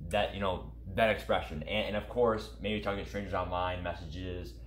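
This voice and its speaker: With audible room echo, a man talks at a very deep, low pitch, using lively intonation and vocal fry. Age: young. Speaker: gaming YouTube streamer. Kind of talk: casual interview. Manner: halting; animated.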